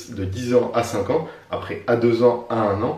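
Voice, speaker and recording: There is noticeable background noise and audible room echo as a man speaks with ordinary pitch variation. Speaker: real estate investing coach, YouTuber. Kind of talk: vlog tutorial. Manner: fast; energetic.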